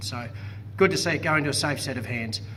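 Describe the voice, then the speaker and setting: Over noticeable background noise, a man races along at a very fast pace, his pitch varying in an ordinary way. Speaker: property auctioneer and real estate agent. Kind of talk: post-auction report to camera.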